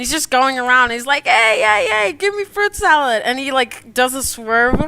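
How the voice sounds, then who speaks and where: A woman speaks at a moderate pace in a bright, sharp, animated tone. The recording is very clean, with a silent background. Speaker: digital artist streamer. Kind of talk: casual chat. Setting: live stream.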